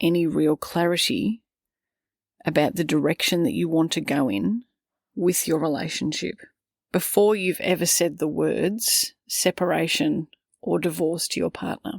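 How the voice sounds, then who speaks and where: Recorded very cleanly against a silent background, a woman speaks fairly slowly at a fairly low pitch with vocal fry and lively intonation. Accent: Australian. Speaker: parenting coach. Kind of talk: podcast monologue.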